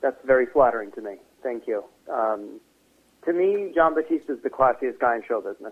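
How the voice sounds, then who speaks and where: An ordinary speaking voice: a man with an American accent at a medium pitch, fairly quick pace, lively intonation and big swings in loudness. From Connecticut, US. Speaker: singer-songwriter. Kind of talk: interview.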